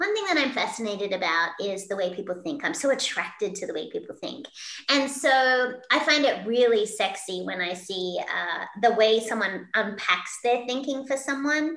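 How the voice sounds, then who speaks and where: A woman with an Australian accent speaks in a fairly high voice with lively intonation and hardly any pauses. Noticeable background noise runs under her speech. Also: moderate pace. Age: 50s. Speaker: keynote speaker and leadership coach. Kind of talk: interview. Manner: animated.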